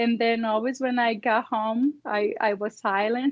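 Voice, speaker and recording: Speaking with a non-native accent, the woman's voice sits fairly high in pitch. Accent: noticeable foreign accent in English. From Brazil. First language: Portuguese. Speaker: immigrant lawyer. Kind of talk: interview. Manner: halting.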